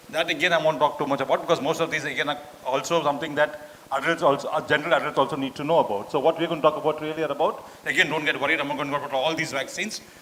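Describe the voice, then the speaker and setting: A man with a fairly high pitch talks at a very fast pace and fairly even intonation, with noticeable background noise behind him. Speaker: doctor giving a talk. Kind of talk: lecture.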